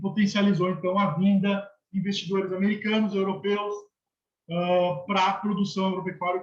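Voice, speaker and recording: The pace here is moderate. A man talks with a high-pitched voice. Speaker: university lecturer. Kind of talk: lecture.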